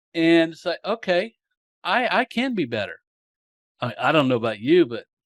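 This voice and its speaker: With a Southern US accent, a man talks at a moderate pace, his pitch swinging very widely. The recording is very clean and dry, close with no echo and a silent background. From US South. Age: 60s. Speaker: marketing podcast host. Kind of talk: interview, casual chat.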